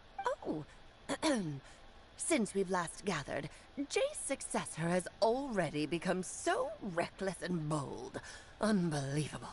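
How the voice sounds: Using a put-on character voice at a medium pitch, a woman speaks at a fairly slow pace with long, frequent pauses, over clear background noise.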